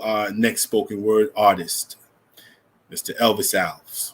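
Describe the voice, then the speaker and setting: Speaking at a fairly slow pace, a man talks with a New York accent. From New York, the Bronx. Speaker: event host. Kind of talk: live event hosting.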